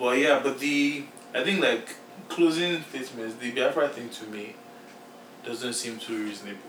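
A man with a Nigerian accent talks at a moderate pace and medium pitch, with ordinary pitch variation and long, frequent pauses. Noticeable background noise runs through the clip. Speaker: podcast co-host. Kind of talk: casual chat. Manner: animated.

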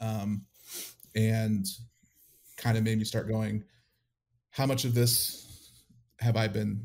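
A somewhat breathy man at a very slow pace, on a very clean recording with a silent background. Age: 30s. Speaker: AV technician and former church drummer. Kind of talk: interview testimony.

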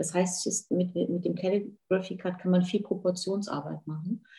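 A woman speaks at a moderate pace in a somewhat breathy voice. Her tone is dark and mellow. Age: 50s. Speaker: hair and beauty salon owner. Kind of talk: podcast interview.

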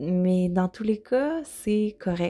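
On a very clean recording with a silent background, a woman with a Quebec accent speaks at a medium pitch in a dark, mellow tone. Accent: Québécois French. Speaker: intuitive eating coach, podcast host. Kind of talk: solo podcast monologue. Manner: hesitant, many fillers.

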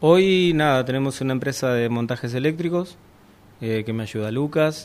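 Ordinary pitch variation colors a man's medium-pitched speech. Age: 50s. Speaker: sailing instructor. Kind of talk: interview. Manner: halting.

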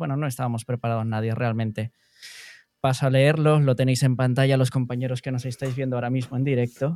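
The recording is very clean with a silent background, dry and close with no echo. A man speaks at a medium pitch in a monotone, flat intonation. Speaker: podcast host. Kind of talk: casual chat; scripted intro.

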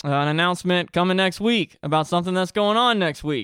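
An unremarkable speaking voice: a man talking at a fairly quick pace with ordinary pitch variation. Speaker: podcast host and musician. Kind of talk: casual interview chat. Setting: video recording.

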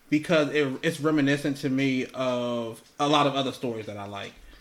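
A man's fairly high pitch shows ordinary variation in a normal speaking voice. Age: 30s. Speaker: podcast co-host. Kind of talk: casual chat.

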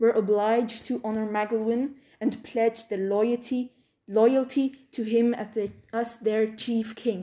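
Someone gives a plain reading aloud, keeping the intonation fairly level.

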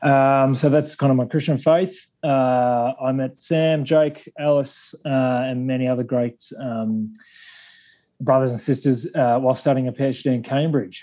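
A man with a strong Australian accent speaks at a fairly slow pace, his medium-pitched voice dark and mellow, his intonation fairly even against a quiet background. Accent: broad Australian. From Australia, Sydney. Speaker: Anglican clergyman or theologian. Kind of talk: academic discussion. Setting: remote call.

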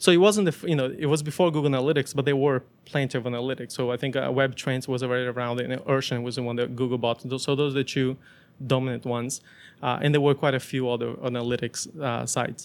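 Speaking very fast in a Portuguese accent, a man holds a medium pitch with fairly even intonation on a very clean recording with a silent background. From Brazil. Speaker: startup founder. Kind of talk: interview. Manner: halting, many restarts.

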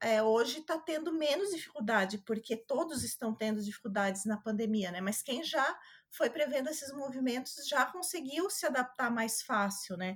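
A woman at a moderate pace with hardly any pauses and very wide pitch swings. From Santa Catarina, southern Brazil. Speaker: lawyer. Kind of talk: interview.

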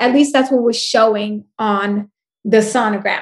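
Ordinary pitch variation marks this speech, delivered at a moderate pace. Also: woman. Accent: New York. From New York, Puerto Rican family. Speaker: life coach and speaker. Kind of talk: casual interview. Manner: loud.

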